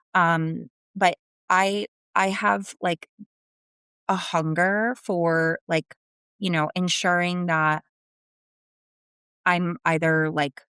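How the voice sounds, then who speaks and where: A woman with a strong New Jersey accent speaks very slowly with long, frequent pauses, in a fairly low pitch with a bright, sharp tone and fairly even intonation. Her loudness is very even, and the sound is dry and close with no echo. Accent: thick New Jersey. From New Jersey, US. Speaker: sales executive. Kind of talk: interview.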